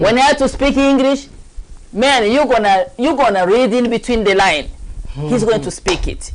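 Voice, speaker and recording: In a strong African accent, the speaker moves at a moderate pace with lively intonation. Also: woman, high pitch for a woman. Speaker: talk show host. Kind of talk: casual chat. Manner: animated.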